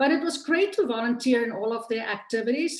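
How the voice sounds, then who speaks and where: Noticeable background noise runs under a woman speaking with a South African accent. Her pace is moderate and her pitch varies in an ordinary way. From South Africa, Cape Town. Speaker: political candidate. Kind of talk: campaign speech.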